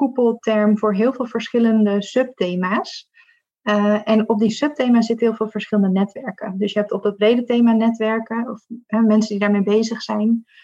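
A woman with a fairly high, somewhat breathy voice talks at a moderate pace in a monotone, flat intonation. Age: 30s. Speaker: diversity and inclusion consultant. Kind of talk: interview.

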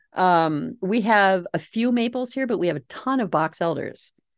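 A woman with a Minnesota accent speaks at a medium pitch, her voice making very wide pitch swings. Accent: Minnesota accent, noticeable. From Minnesota, US Midwest. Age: 40s. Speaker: author and homesteader podcaster. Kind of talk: casual interview chat.

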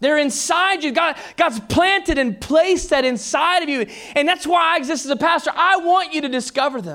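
A man with an American accent uses a raised, projected voice at an extremely high pitch, with ordinary pitch variation. He talks at a fairly quick pace with hardly any pauses. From Texas. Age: 30s. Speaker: pastor. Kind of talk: sermon, preached live to a congregation with jokes and call-and-response. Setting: church. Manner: animated, jokey, conversational; energetic, teasing, with interjected laughter.

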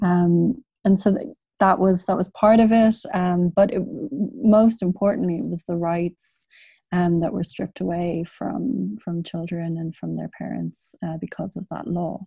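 A woman with a Dublin accent speaks at a fairly slow pace, somewhat breathy and fairly low in pitch. Her pitch varies in an ordinary way, while her loudness swings widely. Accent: Dublin Irish. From Ireland, Dublin. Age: 30s. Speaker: journalist and author. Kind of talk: interview. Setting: video call. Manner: halting, frequent fillers.

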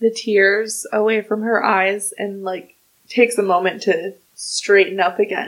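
In a natural reading voice with fairly even intonation, the speaker reads against a quiet background.

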